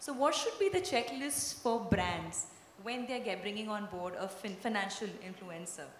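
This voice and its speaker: Light background noise and audible room echo around a woman's voice. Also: fairly high pitch for a woman, ordinary pitch variation, moderate pace. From Kerala, India. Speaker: panel moderator. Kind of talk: panel discussion. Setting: stage with audience. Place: stage. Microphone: handheld.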